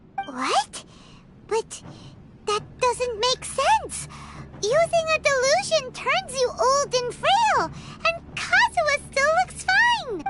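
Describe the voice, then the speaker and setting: Over light background noise, a squeaky, cartoonish character voice goes at a very slow pace and an extremely high pitch. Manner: excitable, blunt.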